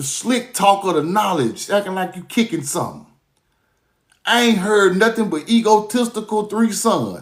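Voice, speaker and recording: Animated in tone, a man talks at a moderate pace. His pitch is high, with ordinary variation. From US South, Mississippi. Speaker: commentator. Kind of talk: rant.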